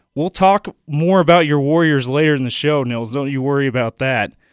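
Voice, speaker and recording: Pitched fairly high, this man has a normal speaking voice. He keeps a moderate pace. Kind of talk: radio sports patter. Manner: brisk, upbeat station-promo delivery.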